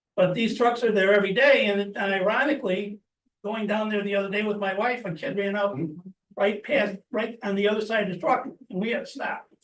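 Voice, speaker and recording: With audible room echo, a high-pitched man talks at a fairly quick pace in fairly even intonation. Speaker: resident speaking at public comment. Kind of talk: public comment at council meeting.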